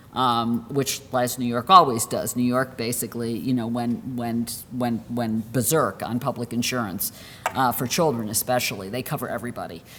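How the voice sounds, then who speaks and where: Very deep, low-pitched female speech with fairly even intonation and hardly any pauses, over noticeable background noise. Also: moderate pace. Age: 60s. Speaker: health law professor. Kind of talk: lecture. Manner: halting, many fillers and restarts.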